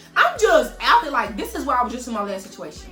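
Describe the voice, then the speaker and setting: Music plays in the background. The delivery is very fast, with lively intonation. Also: woman. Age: 30s. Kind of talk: casual storytime talk to camera. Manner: animated, expressive.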